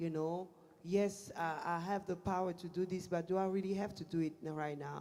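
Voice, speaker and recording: The speaker talks at a fairly quick pace with a French accent. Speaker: pastor. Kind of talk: casual chat. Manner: halting.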